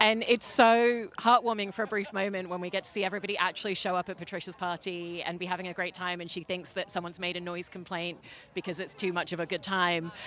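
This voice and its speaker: The speech runs at a very fast pace with hardly any pauses and fairly even intonation. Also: woman, medium pitch for a woman. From Britain. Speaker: entertainment interviewer. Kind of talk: interview.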